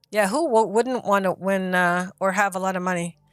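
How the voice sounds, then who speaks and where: Music playing behind a woman's voice of medium pitch. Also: dry, close sound with no echo. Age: 60s. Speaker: live stream host. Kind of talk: casual chat. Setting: live stream.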